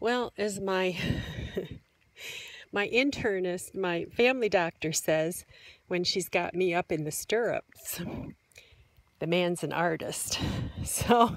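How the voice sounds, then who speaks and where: A woman speaks at a very slow pace with long, frequent pauses. Her pitch varies in an ordinary way, and the sound is dry with no echo. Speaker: vlogger. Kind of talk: casual vlog chat. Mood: chatty, amused. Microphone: phone near.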